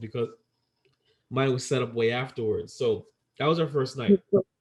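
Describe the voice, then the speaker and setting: His pitch sits fairly high. There's a somewhat breathy quality to this man's voice. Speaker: podcast co-host. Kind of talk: casual chat. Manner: animated, repeats words often.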